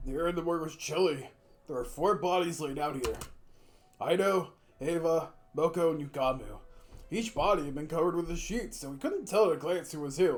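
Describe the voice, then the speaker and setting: A man speaks fairly quickly in a high pitch, broken up by long, frequent pauses. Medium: game stream. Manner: casual, conversational.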